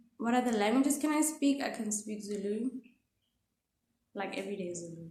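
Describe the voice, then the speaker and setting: This woman speaks with a Botswana accent. Her voice is somewhat breathy. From South Africa, Pretoria. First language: Setswana. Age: 20s. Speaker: actress and vlogger. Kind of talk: casual vlog introduction. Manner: animated.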